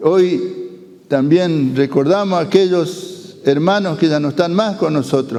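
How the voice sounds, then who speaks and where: Over noticeable background noise, a man with a high pitch speaks fairly slowly with ordinary pitch variation. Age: 70s. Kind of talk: talk to school students. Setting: school. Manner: halting, with fillers.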